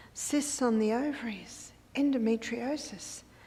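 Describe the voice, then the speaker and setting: Heard with audible room echo, a woman with an Australian accent speaks at a fairly high pitch and with fairly even intonation. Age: 70s. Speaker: health educator and speaker. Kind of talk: lecture.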